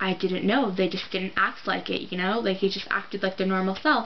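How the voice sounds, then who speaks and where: Noticeable background noise behind a woman's voice at a medium pitch. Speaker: vlogger. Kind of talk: casual vlog monologue. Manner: halting.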